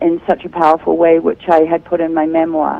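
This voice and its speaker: Moderate-paced speech from a woman with a New Zealand accent. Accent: New Zealand accent, noticeable. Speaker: author and speaker. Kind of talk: interview. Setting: Skype video call.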